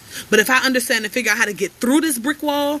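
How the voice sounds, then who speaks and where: The speaker is a woman. Her tone is animated. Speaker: life coach. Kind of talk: motivational livestream talk. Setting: outdoors on porch, livestream. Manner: fast.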